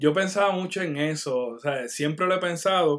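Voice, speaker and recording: This man talks fairly slowly in a high-pitched voice. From Puerto Rico, Barranquitas. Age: 30s. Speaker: graphic artist and clothing brand owner. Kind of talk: casual interview chat. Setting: online video call.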